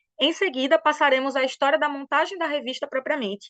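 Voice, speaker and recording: Animated and very fast, a woman speaks in a high pitch with a Brazilian accent. The sound is dry and close with no echo, over a quiet background. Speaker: historian, doctoral researcher. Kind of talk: academic webinar presentation.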